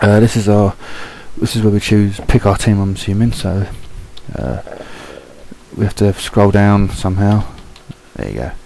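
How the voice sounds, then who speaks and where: Amid noticeable background noise, a quiet man with a British accent talks at a moderate pace in a fairly low, fairly even voice, leaving long, frequent pauses. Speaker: gaming video commentator. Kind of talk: gameplay commentary. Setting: at home. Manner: speaking low, quiet; hesitant, many fillers.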